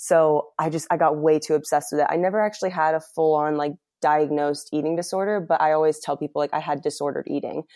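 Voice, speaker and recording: In a quiet background, a woman speaks at a very fast pace with hardly any pauses, her very deep, low voice dark and mellow, monotone and flat, with a dry, close sound and no echo. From Ohio, US (born in England). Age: 20s. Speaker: health coach. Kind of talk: casual interview chat.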